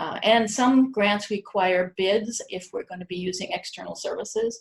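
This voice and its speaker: A woman's fairly high, somewhat breathy voice with fairly even intonation. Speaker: university research administrator. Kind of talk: conference presentation. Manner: fast.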